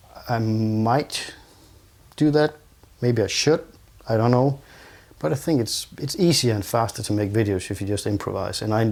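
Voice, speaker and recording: This man talks at a moderate pace, using a medium pitch and ordinary pitch variation. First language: not English. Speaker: video gear reviewer. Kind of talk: tutorial. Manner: improvised, halting.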